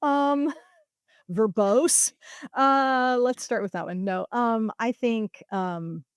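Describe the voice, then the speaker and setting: At a very slow pace, a woman with a Midwestern American accent speaks in a fairly high pitch with lively intonation, and the sound is dry and close with no echo. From Ohio, USA. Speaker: editor and proofreader. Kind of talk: podcast interview answer.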